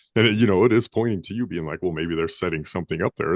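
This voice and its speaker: A man's very deep, low voice with an American accent at a very fast pace, dry and close with no echo, against a quiet background. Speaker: podcast host. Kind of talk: interview.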